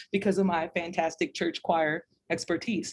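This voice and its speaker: Using a normal speaking voice, a woman with an American accent speaks at a moderate pace and a fairly low pitch. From Louisiana, later Texas. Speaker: music educator. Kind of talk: interview.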